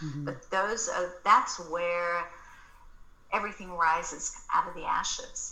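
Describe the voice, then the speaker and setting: A woman speaks with an American accent at a fairly slow pace. Her loudness swings widely. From Australia. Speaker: marketing agency founder and author. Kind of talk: casual interview chat.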